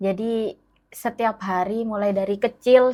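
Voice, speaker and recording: A woman with a fairly high voice speaks on a very clean recording with a silent background. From Malang Regency, East Java, Indonesia (Madurese descent). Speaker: teacher. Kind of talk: interview. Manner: animated.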